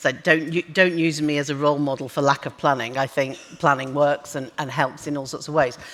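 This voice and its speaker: In a slight northern English accent, the speaker goes at a fairly quick pace with hardly any pauses and monotone, flat intonation. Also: woman, very deep, low pitch for a woman. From northern England. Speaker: business executive. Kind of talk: onstage interview. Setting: conference stage with audience. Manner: hesitant, many fillers.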